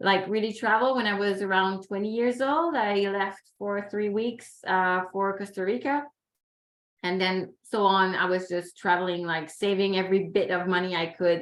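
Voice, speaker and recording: A medium-pitched woman in a Quebec accent, at a moderate pace with ordinary pitch variation. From Quebec, Canada. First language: French. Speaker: environmental consultant and youth ambassador. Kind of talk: webinar panel talk. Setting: video call.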